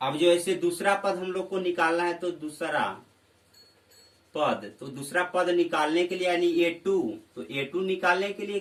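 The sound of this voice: Over audible room echo, a man with a high pitch and fairly bright tone talks at a fairly slow pace with fairly even intonation.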